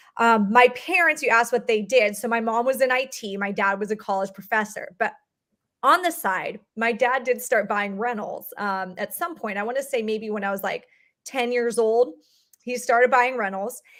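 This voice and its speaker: Speaking at a moderate pace, a woman has a fairly high pitch with ordinary pitch variation. The recording is very clean with a silent background. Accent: Californian. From Southern California. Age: 30s. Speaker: real estate investor. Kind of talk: podcast interview.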